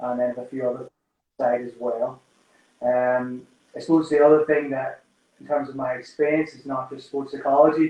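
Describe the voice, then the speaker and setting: With a strong Irish accent and a dark, mellow tone, a man with a fairly high voice speaks in a flat monotone at a moderate pace, his loudness swinging widely around long, frequent pauses. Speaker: sports psychologist. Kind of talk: live-stream interview. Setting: Instagram Live video stream.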